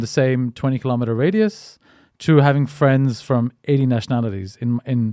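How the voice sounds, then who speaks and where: A man with an Indian accent at medium pitch, dark and mellow in tone, with ordinary pitch variation and a moderate pace, in a dry, close sound with no echo on a very clean recording with a silent background. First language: Hindi. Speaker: podcast host. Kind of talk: casual interview chat. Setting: in person. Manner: halting, many fillers and repetitions.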